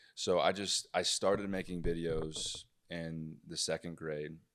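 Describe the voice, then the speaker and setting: A man with a very deep, low pitch speaks at a fairly slow pace with fairly even intonation. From Arkansas, Fort Smith. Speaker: comedian. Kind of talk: casual chat. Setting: hotel.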